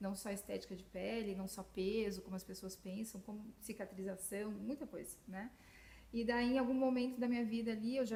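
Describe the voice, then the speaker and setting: Noticeable background noise behind a woman at a medium pitch, speaking at a moderate pace with fairly even intonation. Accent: Florianópolis. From southern Brazil, Florianópolis. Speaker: physician, nutrition specialist. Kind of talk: podcast interview.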